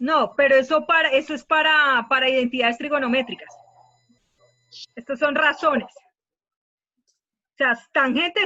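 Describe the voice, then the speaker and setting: A woman speaks with a high pitch and ordinary pitch variation. Her pauses are long and frequent. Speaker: math teacher. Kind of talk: online class lecture. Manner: fast.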